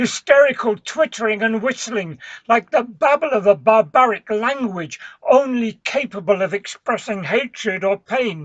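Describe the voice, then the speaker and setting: This man talks in a put-on character voice with a high pitch. His pace is fairly slow. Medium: solo performance. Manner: solemn, measured.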